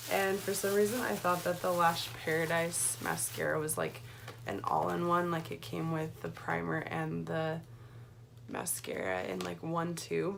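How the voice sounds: A woman's hoarse, put-on character voice at a moderate pace, with noticeable background noise.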